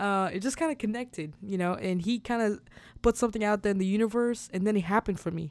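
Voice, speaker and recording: A woman at a very fast pace with ordinary pitch variation, on a very clean recording with a silent background. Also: medium pitch for a woman. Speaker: podcaster. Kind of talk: solo podcast monologue, storytelling. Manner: casual, conversational, chatty.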